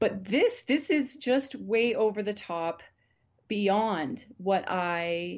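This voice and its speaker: Against a quiet background, a woman with a Canadian accent speaks at a very slow pace and medium pitch with lively intonation. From Alberta, Canada. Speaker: family physician. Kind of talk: interview.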